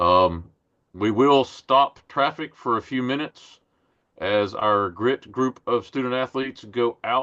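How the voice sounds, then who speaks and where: The sound is dry and close, with no echo. A man speaks at a moderate pace in a bright, sharp tone. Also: quiet background. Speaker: cycling league venue coordinator. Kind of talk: online town hall presentation.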